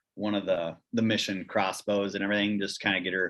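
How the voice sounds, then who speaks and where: The speaker uses monotone, flat intonation with a Wisconsin accent. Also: man. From Central Wisconsin, US Upper Midwest. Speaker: fitness company outdoors founder. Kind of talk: casual chat. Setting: call.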